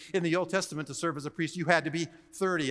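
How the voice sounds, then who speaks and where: Over a silent background in a very clean recording, a man with a high pitch talks at a very fast pace. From Hawaii. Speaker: seminary professor and preacher. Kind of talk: sermon. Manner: animated.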